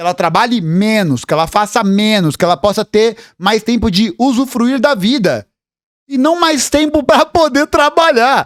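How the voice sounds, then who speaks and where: In a Brazilian accent, the speaker delivers an animated tone at a fairly slow pace, with very wide pitch swings and very even loudness. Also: man, extremely high pitch for a man, dry, close sound with no echo. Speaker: political commentator, history youtuber. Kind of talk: reaction video commentary.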